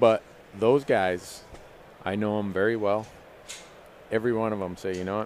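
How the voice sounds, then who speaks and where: With an American accent, a man talks at a fairly quick pace in a fairly low pitch, keeping fairly even intonation and taking long, frequent pauses, over light background noise in a dry sound with no echo. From Minnesota, US Midwest. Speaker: hunting show host. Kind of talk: live panel discussion. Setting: trade show booth, live stream. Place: stage. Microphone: headset.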